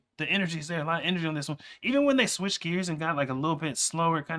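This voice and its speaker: A bright, sharp tone at a very fast pace. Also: man. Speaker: music reaction streamer. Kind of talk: casual reaction commentary. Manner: loud and fast when hyped.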